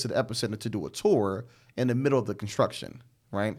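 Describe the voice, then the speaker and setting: Very fast and at medium pitch, a man talks in an American accent. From Chicago South Side.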